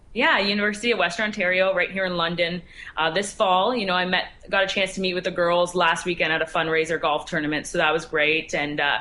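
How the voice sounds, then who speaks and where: A woman with a Canadian accent speaks at a very fast pace and a fairly low pitch. Her intonation is fairly even and her loudness very even. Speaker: former varsity hockey player and sports reporter. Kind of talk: interview. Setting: remote interview. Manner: halting.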